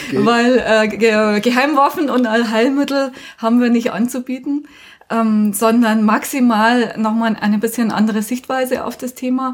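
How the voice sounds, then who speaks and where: Fairly even intonation and a moderate pace in an ordinary speaking voice. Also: woman, fairly high pitch for a woman. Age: 40s. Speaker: union trainer. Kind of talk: interview.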